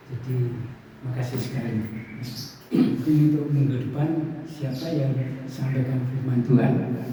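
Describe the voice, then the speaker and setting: Through audible room echo and noticeable background noise, a man of medium pitch speaks fairly slowly in a monotone, flat delivery. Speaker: preacher. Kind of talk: sermon.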